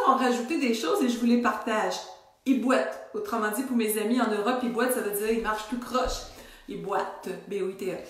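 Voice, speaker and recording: At a fairly quick pace, a woman with a fairly high pitch and ordinary pitch variation speaks amid noticeable background noise and audible room echo. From Quebec. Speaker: wellness coach. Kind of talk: casual video talk to followers. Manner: some stuttering today.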